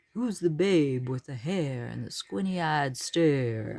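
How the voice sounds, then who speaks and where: Someone puts on a character voice with a low-to-middle pitch, speaking at a fairly slow pace. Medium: read story. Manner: purring, smooth.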